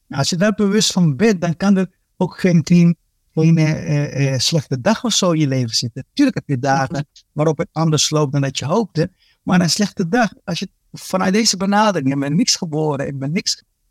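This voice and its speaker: In a dry, close recording with no echo, a man with a fairly high pitch speaks at a moderate pace with lively intonation. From Dominican Republic, raised in Netherlands from age ten. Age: 40s. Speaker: police inspector and court interpreter. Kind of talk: casual interview. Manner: hesitant, with many fillers and repeats.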